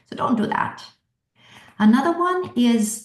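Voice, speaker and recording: Somewhat breathy, a woman talks with very wide pitch swings while audible echo fills the room. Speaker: workshop presenter. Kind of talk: virtual workshop presentation.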